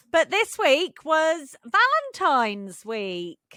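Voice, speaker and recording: Raising and projecting her voice, a woman with an English accent speaks at a very slow pace in a bright, sharp tone with lively intonation. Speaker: podcast co-host. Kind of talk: casual chat.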